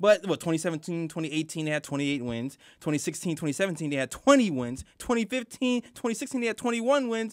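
Speaking with an American accent, a man uses a high pitch and very wide pitch swings at a fairly slow pace with hardly any pauses, over a quiet background. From Brooklyn, New York. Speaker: sports podcast co-host. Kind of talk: casual sports talk show. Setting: studio. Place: studio. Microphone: studio mic.

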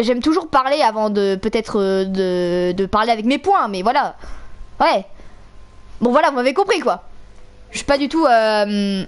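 The delivery is fairly slow, broken by long, frequent pauses. Its intonation is lively. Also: woman, fairly high pitch for a woman. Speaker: gaming streamer. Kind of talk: angry rant while gaming, swearing and yelling at the game. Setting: live stream, playing a video game with headset. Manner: loud, exasperated, explosive, with sarcastic outbursts and laughter.

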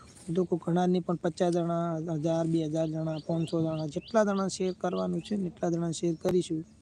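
The intonation stays flat and monotone. Noticeable background noise runs underneath. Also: man. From Gujarat, Banaskantha district (Kankrej taluka). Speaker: YouTuber selling lottery tokens. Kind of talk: live stream chat and sales pitch. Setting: YouTube live stream.

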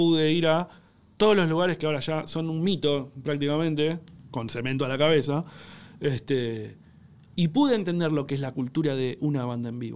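At a moderate pace, a man speaks in a fairly high pitch with lively intonation. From Argentina. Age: 30s. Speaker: cook and content creator; content creator. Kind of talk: casual chat. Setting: studio. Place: studio. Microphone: studio mic.

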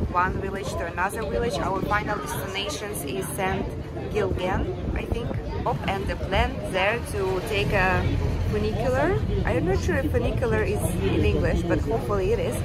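Loud background noise fills the recording. A woman talks at a moderate pace. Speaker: travel vlogger. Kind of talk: casual vlog chat. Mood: relaxed, cheerful. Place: boat. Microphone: phone near.

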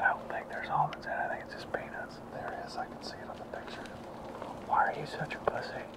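Loud background noise accompanies a man talking at a very fast pace. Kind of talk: casual hunting vlog chat. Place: forest.

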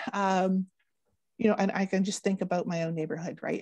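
Very fast and somewhat breathy, the voice has a dark, mellow tone in a Canadian accent. The background is quiet. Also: woman, dry sound with no echo. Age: 40s. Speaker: drowning prevention educator. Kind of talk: educational presentation. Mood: warm, upbeat. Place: home room. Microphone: earbuds.

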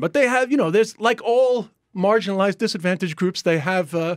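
A man with lively intonation, over a quiet background. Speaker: comedian guest. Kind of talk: interview answer. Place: studio. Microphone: studio mic.

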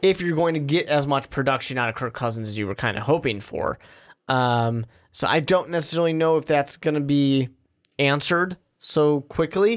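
Against a quiet background, a man's pitch varies in an ordinary way as he talks. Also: moderate pace. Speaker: podcast co-host. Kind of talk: sports podcast discussion. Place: studio. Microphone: studio mic.

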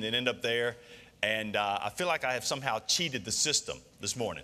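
Bright and sharp in tone, a man speaks at a fairly quick pace. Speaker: senior pastor. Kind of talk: sermon. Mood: warm, relaxed. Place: church.

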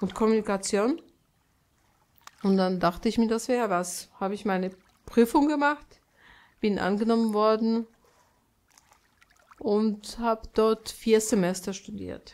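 Speech unfolds at a fairly slow pace with long, frequent pauses and ordinary pitch variation. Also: woman, fairly high pitch for a woman. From Poland. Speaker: painter. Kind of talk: interview answer.

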